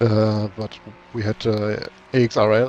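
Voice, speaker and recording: A man speaks with a German accent. Noticeable background noise runs behind him. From Germany. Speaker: sim racing team driver. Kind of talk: casual chat.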